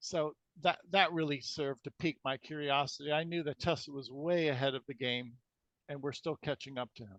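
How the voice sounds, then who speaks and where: A man with a plain, everyday voice speaks at a fairly quick pace and a fairly high pitch. The sound is dry and close, with no echo. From USA. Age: 60s. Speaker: alternative healing researcher. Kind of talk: interview.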